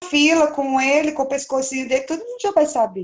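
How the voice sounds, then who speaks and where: This woman's voice sits at a high pitch. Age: young. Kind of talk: interview.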